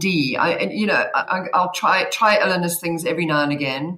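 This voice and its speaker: A speaker with a South African accent talks at a moderate pace with ordinary pitch variation over noticeable background noise. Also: woman. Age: 50s. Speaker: guest sharing menopause experience. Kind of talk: casual chat. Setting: video call.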